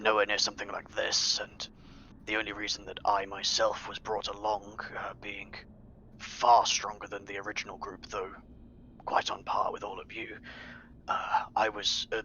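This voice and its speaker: Whispering in a put-on character voice, the speaker keeps a moderate pace with long, frequent pauses. Loudness swings widely. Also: man. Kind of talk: in-character roleplay narration. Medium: actual play. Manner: formal, articulate, measured.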